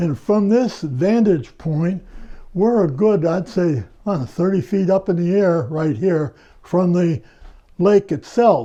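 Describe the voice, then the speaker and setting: He talks at a very slow pace with ordinary pitch variation. This man's high voice has a dark, mellow tone. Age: 90s. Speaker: retired telephone worker and ham radio operator. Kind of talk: casual interview.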